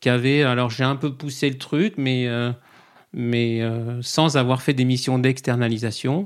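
A man at medium pitch with fairly even intonation and a very slow pace, in a very clean recording with a silent background. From Paris region, France. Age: 40s. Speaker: accountant and coach. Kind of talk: podcast interview. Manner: halting, many fillers.

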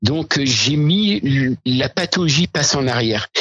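A man's fairly high voice carries lively intonation as he talks very slowly. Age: 60s. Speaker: diabetes patient advocate. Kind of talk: interview. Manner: hesitant, many fillers.

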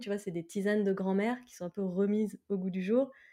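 Her dark, mellow tone sits at a medium pitch for a woman, captured in a very clean recording with a silent background. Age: 30s. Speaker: entrepreneur, co-founder of a CBD tea brand. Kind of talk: casual interview.

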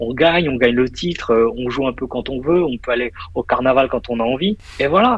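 With noticeable background noise behind him, a man speaks at a moderate pace with a medium pitch and ordinary pitch variation. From Paris region, France. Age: 30s. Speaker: investor and finance professional. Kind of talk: casual interview. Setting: WhatsApp call from office.

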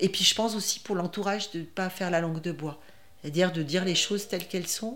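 The woman's voice sits at a medium pitch. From France, Grenoble area. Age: 60s. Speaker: breast cancer patient. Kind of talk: testimony. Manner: halting, many repetitions and hesitations.

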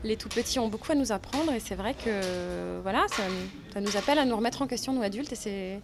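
With music in the background, a woman talks at a fairly quick pace and a fairly high pitch. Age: 30s. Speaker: actress and former literature teacher. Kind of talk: interview testimony.

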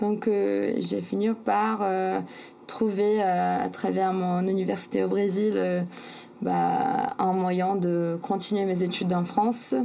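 A woman speaks at a very slow pace, her loudness very even. Noticeable background noise sits behind her. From Brazil, São Paulo. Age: 20s. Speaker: sailor and author. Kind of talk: interview. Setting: remote call. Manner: hesitant, many fillers.

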